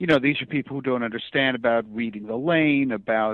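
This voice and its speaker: Ordinary pitch variation marks a man's unremarkable speaking voice, pitched in the medium range. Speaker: comic book writer and bowler. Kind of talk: interview answer.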